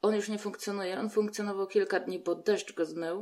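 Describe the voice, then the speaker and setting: Her pitch medium, a woman speaks very fast with fairly even intonation. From southeastern Poland (Podkarpacie). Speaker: artist and community activist. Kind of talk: casual interview.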